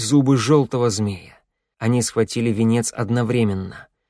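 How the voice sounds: The background stays quiet. Someone reads in a natural reading voice.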